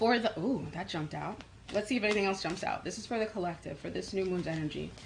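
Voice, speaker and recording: With a New York accent, a woman of medium pitch speaks at a fairly quick pace with ordinary pitch variation and long, frequent pauses. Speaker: psychic and life coach. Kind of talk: live channeled reading for online group.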